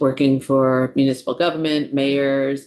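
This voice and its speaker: A woman speaks in a New York accent at a very deep, low pitch. Her intonation is monotone and flat. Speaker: state department commissioner, psychologist. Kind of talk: testimony to legislative committee.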